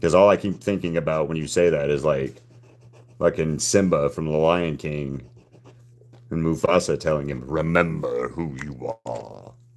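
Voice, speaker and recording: A very deep, low-pitched man with a Southern US accent, at a moderate pace, with ordinary pitch variation. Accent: Southern twang. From US South, Alabama. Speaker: artist livestreamer. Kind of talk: casual chat. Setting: live stream.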